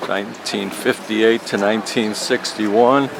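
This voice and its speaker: Noticeable background noise fills the clip. A man talks with fairly even intonation. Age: 70s. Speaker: military veteran and peace activist. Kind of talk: documentary interview.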